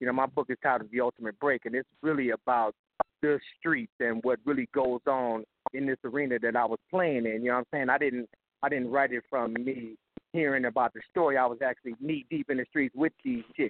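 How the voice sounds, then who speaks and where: In an unremarkable speaking voice, a man talks at a fairly quick pace. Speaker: caller. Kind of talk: casual chat. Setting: phone call.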